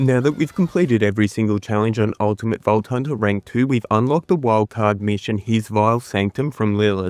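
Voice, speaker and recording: A man speaks at a fairly low pitch and a fairly quick pace, with very even loudness. The very clean recording has a silent background and a dry, close sound with no echo. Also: ordinary pitch variation, hardly any pauses. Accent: Australian. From Australia. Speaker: gaming guide creator. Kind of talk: tutorial.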